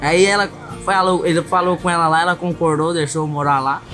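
With clear music in the background, a man talks at a fairly quick pace with fairly even intonation. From Minas Gerais, Brazil. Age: young. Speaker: bull rider. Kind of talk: interview answer. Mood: relaxed, smiling storytelling. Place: open country.

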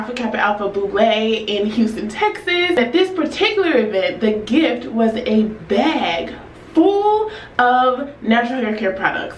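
Light background noise and audible room echo surround the recording. A woman speaks at a high pitch and a fairly slow pace. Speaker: hair care vlogger. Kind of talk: casual vlog chat. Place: home room.

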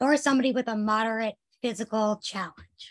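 Little sound intrudes in the background. The delivery keeps a moderate pace. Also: woman. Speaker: occupational therapist. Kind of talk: presentation. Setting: online video webinar. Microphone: video call.

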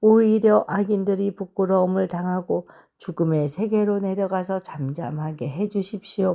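A woman with a plain, everyday voice speaks at medium pitch and a fairly slow pace, with ordinary pitch variation. The recording is very clean, with a silent background. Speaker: Bible reader. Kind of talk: reading aloud.

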